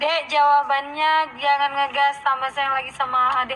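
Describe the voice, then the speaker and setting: With noticeable background noise around her, a woman speaks at a moderate pace in a high voice with lively intonation. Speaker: singer and vlogger. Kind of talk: casual chat.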